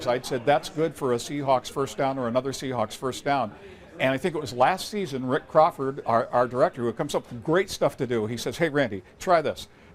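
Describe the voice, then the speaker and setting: At a fairly quick pace, a man talks in a normal speaking voice with a medium pitch and ordinary pitch variation. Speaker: pastor and stadium public address announcer. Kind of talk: casual interview answer talking about his job.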